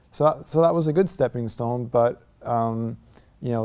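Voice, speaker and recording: A man with an American accent at a medium pitch, speaking at a fairly slow pace over noticeable background noise. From US Northeast (New York / New Jersey), later California. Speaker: convert to Islam. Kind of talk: testimony. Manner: halting, many fillers.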